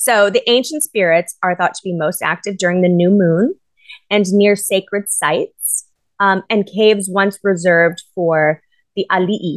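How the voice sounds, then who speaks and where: In a normal speaking voice, a woman talks at medium pitch with ordinary pitch variation, the sound dry and close with no echo. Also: moderate pace. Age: 40s. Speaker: podcast co-host. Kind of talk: casual chat.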